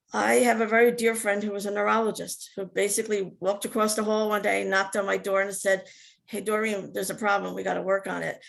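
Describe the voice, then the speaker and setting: Speaking at a very fast pace, a woman talks in a New Jersey accent. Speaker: Alzheimer's advocate living with the disease. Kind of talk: testimony. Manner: halting.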